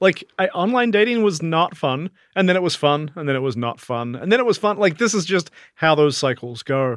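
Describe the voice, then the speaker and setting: With lively intonation and a fairly high pitch, a man speaks in a dry, close sound with no echo on a very clean recording with a silent background. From New Zealand, South Island. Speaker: podcast co-host's husband. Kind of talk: casual chat.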